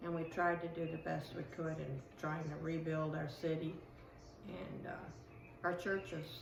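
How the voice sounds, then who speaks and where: Very deep and low in pitch, a woman speaks at a moderate pace amid audible room echo. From Sicily, Italy. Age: 70s. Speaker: interviewee, immigrant. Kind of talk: interview.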